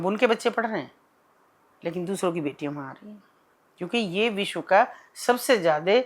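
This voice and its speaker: Here is a woman speaking. Her intonation is lively. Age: 60s. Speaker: social worker. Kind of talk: interview. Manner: impassioned.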